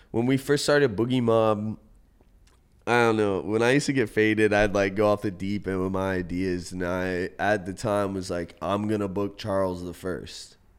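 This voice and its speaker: Speaking at a moderate pace in an American accent, a man uses a fairly low pitch with ordinary pitch variation. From US South, North Carolina Outer Banks. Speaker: rapper, producer and DJ. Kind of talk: casual interview chat. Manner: laid-back, slangy.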